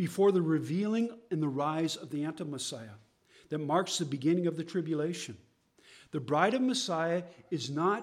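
At a moderate pace with ordinary pitch variation, the speaker leaves long, frequent pauses, with audible room echo around the voice. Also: man. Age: 60s. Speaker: messianic teacher. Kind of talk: sermon.

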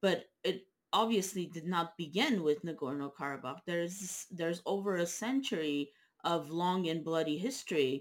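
A woman talks at a moderate pace in a fairly low voice, an unremarkable speaking voice with ordinary pitch variation. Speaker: interviewer. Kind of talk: interview.

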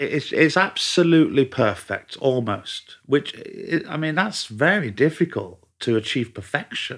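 On a very clean recording with a silent background, a man with a Mancunian accent speaks at a moderate pace in a fairly high pitch with very wide pitch swings. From Manchester, northern England. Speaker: chef. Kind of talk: casual chat. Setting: host's home.

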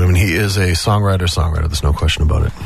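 There's noticeable noise in the background while this man talks with an American accent. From Massachusetts South Shore. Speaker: musician. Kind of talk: interview chat. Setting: radio studio.

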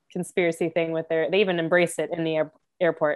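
With an American accent, a woman speaks in a fairly low pitch. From Florida. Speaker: marine biologist. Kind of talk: casual interview.

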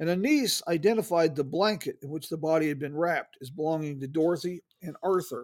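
In an unremarkable speaking voice, a man with a fairly high pitch talks at a fairly quick pace with ordinary pitch variation. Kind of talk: true-crime narration, read in a measured storytelling style. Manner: conversational, warm greeting style.

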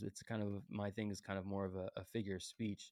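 The tone is dark and mellow, set against a quiet background. Delivery moves at a fairly quick pace. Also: man. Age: 20s. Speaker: podcast host, former baseball pitcher. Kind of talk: casual monologue. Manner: animated.

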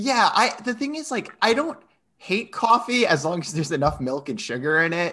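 Against a quiet background, a man speaks in a raised, projected voice at high pitch with a bright, sharp tone. His pitch swings very widely at a moderate pace. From Rhode Island. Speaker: podcast guest. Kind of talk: casual chat.

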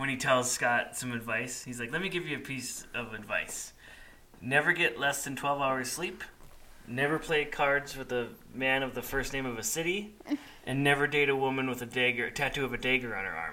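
Ordinary pitch variation amid noticeable background noise. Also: man, medium pitch for a man, moderate pace. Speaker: dad co-host. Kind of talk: casual chat.

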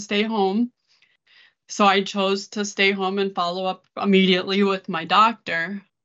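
In an American accent, a woman talks at a medium pitch. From Minnesota. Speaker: charity ministry worker. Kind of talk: testimony.

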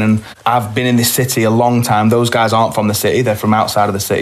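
A man at a very fast pace, monotone and flat in intonation, with noticeable background noise. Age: 20s. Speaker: singer and venue owner. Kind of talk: casual chat.

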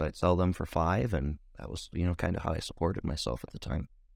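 With an American accent and vocal fry, the voice races along at a very fast pace in a very clean recording with a silent background. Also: man. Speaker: recovering addict sharing his story. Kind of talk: testimony. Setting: makeshift home podcast booth.

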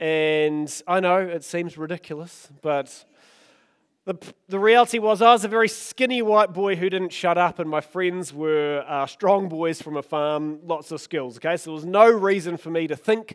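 A man with a New Zealand accent talks in a high pitch with ordinary pitch variation. He keeps a moderate pace. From New Zealand, Oamaru. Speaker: pastor. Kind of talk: sermon. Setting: church.

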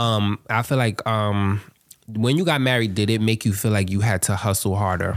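Moderate pace with very even loudness and fairly even intonation. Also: man, fairly low pitch for a man. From Harlem, New York. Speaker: podcast host. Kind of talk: casual chat.

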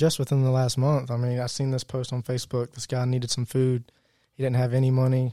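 Speaking very fast with a Virginia accent, a man with a medium pitch and a dark, mellow tone keeps a monotone, flat intonation in a dry, close sound with no echo. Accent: Southern US (Virginia). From Virginia, US. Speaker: church member, new convert. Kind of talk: testimony.

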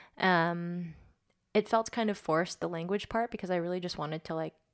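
A woman speaks fairly quickly with an American accent. Hers is an unremarkable speaking voice at a medium pitch. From United States (Korean adoptee, born in Korea). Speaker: Korean adoptee. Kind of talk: casual interview chat.

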